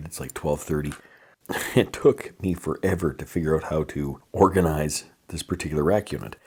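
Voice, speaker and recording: In a put-on character voice, a man whispers raspily at a moderate pace. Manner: whispering.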